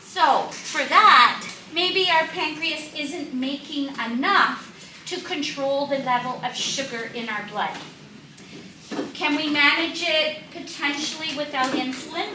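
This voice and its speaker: A woman raises and projects her high-pitched voice at a very slow pace, with audible room echo and noticeable background noise. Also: ordinary pitch variation. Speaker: diabetes educator. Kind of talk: health seminar talk.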